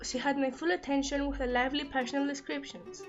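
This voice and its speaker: Background music is audible. Over it, a woman speaks at a high pitch. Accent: non-native. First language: non-native English speaker. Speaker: book reviewer. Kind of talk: casual book review to camera.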